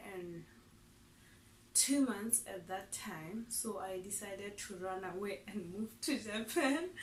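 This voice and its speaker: Audible room echo surrounds a woman's somewhat breathy voice. She talks at a very slow pace with ordinary pitch variation. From Lesotho. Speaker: vlogger, English teacher. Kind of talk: casual vlog self-introduction.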